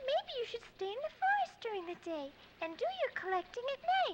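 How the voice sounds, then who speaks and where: A put-on, squeaky character voice at an extremely high pitch moves at a moderate pace over loud background noise. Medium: cartoon.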